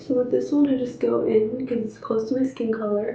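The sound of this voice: In a room with audible echo, a woman speaks at a fairly quick pace with a fairly high pitch, vocal fry, a dark, mellow tone and little pitch movement.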